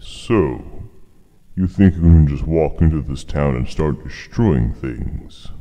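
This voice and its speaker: A man speaks in a put-on character voice with very deep, low pitch. His delivery is booming and fairly slow. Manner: stern, commanding.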